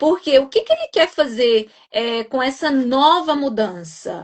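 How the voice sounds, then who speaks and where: Her voice high and her intonation lively, a woman speaks at a fairly slow pace. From Brazil, Minas Gerais. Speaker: nurse and exam prep coach. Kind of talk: live-stream interview. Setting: online live stream.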